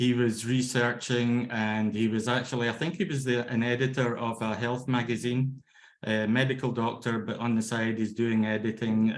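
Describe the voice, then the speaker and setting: At a moderate pace, a man talks in a monotone with flat intonation and a medium pitch. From Scotland. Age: 50s. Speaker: laughter yoga trainer. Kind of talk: lecture. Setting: video call. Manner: halting.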